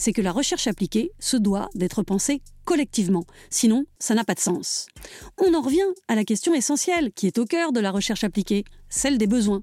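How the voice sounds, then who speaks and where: On a very clean recording with a silent background and a dry, close sound with no echo, a woman with a Parisian accent speaks at a fairly high pitch in a dark, mellow tone, making very wide pitch swings at very even loudness. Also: moderate pace. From Paris, France. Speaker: podcast host and narrator. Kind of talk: scripted narration.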